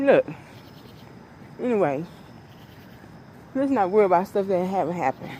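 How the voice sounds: A woman speaks at a fairly slow pace and a medium pitch. Her tone is dark and mellow, and her pitch swings widely.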